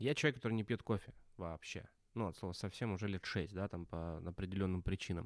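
A man's fairly low voice at a very fast pace. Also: ordinary pitch variation. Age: 30s. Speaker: podcast co-host, brand strategist. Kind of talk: casual chat.

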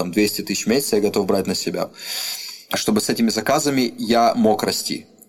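Over noticeable background noise, a man talks at a moderate pace with medium pitch and ordinary pitch variation. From Russia, Rostov-on-Don. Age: 20s. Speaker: rap artist and studio owner. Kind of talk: casual interview. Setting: recording studio.

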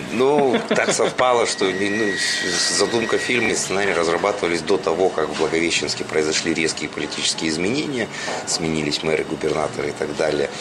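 Over noticeable background noise and audible room echo, a man with a very deep, low pitch talks at a fairly quick pace with lively intonation. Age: 40s. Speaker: showman and radio host. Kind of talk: interview. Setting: cafe.

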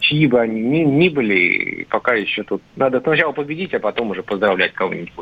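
Fairly quick and with hardly any pauses, a man with medium pitch and lively intonation speaks in an unremarkable speaking voice. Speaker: political commentator. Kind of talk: radio discussion. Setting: phone call.

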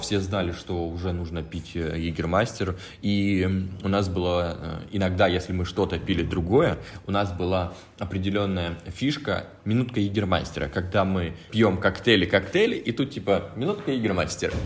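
A man speaks at a moderate pace in a very deep, low pitch. His voice is somewhat breathy, with ordinary pitch variation. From Russia, Krasnodar. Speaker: head bartender. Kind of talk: casual chat.

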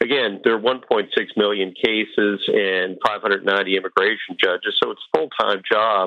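A man talks fairly slowly while noticeable background noise sits beneath his words. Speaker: former immigration judge. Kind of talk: interview. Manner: formal.

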